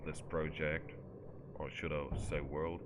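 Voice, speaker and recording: In a German accent, a man with a very deep, low pitch speaks at a fairly slow pace amid audible room echo. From Germany. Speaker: gaming YouTuber. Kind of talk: gameplay commentary.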